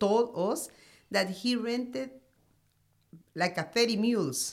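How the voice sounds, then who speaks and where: A woman speaks with a Spanish accent. Her pitch is medium. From Honduras, Marcala. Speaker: coffee farmer. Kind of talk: interview. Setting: studio.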